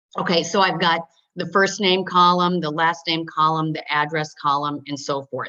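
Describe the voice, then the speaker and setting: A woman's bright, sharp-toned voice with ordinary pitch variation. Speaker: software trainer. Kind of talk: webinar tutorial. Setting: webinar. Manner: fast.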